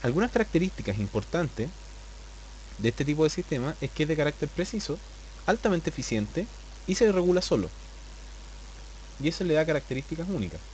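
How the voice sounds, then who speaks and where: A man at a very fast pace, broken by long, frequent pauses. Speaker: biology teacher. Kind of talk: lecture. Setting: live online class. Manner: flatter than usual.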